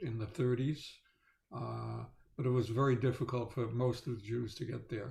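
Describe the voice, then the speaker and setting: A man of medium pitch talks at a moderate pace in a somewhat breathy voice with fairly even intonation. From Netherlands. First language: Dutch and German. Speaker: Holocaust survivor. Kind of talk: testimony. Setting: video call. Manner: halting, many fillers.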